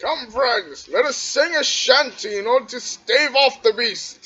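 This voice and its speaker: A put-on character voice with a high pitch at a fairly slow pace. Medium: actual play. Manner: hearty, old-fashioned declaiming.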